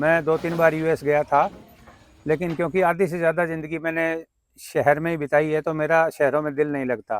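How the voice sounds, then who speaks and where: With fairly even intonation and fairly high pitch, a man with an unremarkable speaking voice talks in a dry, close sound with no echo. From Haryana, Fatehabad district (Punjab border). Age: 60s. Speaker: farmer and civil engineer. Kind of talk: interview.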